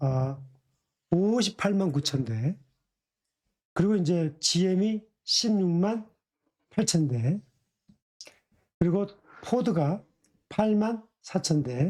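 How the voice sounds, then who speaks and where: Long pauses come often in this very slow delivery. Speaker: stock market commentator. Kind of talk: market analysis talk. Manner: hesitant with fillers.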